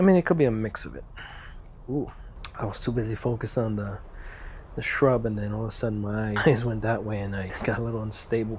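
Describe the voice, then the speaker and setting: A man with an American accent talks very fast at a medium pitch with ordinary pitch variation, leaving long, frequent pauses amid audible room echo. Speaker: VR gaming YouTuber. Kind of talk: casual gameplay commentary.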